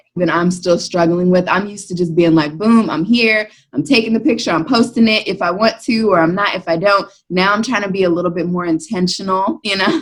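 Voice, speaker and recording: Using an ordinary speaking voice, a woman with an American accent talks at a fairly quick pace, with medium pitch and ordinary pitch variation. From Maryland, US. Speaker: blogger and mom. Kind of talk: casual chat.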